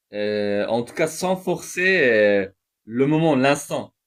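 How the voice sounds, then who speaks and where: A man speaks at a very slow pace with a non-native accent. His intonation is lively. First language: not French (speaking French). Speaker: religious speaker. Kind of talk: spoken reflection monologue. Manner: halting, many hesitations.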